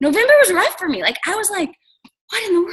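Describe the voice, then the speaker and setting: With a bright, sharp tone, a woman's voice swings very widely in pitch. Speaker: network marketing team leader. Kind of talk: casual chat. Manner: fast; animated.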